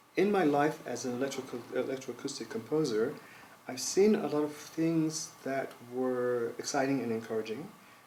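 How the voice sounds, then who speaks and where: Audible room echo and noticeable background noise surround a man of medium pitch who speaks with an American accent at a moderate pace, his pitch varying in an ordinary way. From US South, North Carolina. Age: 60s. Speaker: composer. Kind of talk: interview. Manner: hesitant, with many fillers.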